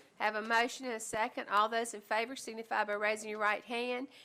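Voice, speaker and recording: A woman speaks loudly at a fairly quick pace, her fairly high pitch held in a monotone, flat intonation. The tone is bright and sharp, and the recording is very clean with a silent background. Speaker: mayor chairing meeting. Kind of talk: meeting chairing. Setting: town board meeting with audience.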